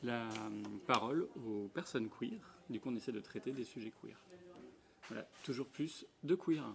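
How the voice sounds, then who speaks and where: A medium-pitched male voice speaks with long, frequent pauses. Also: ordinary pitch variation, fairly slow pace. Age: 30s. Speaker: radio show host. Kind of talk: casual group discussion.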